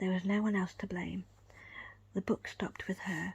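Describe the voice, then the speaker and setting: A woman whispers in a soft-spoken manner. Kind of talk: ASMR whisper book reading with finger tracing. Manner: whispered, calm, soft.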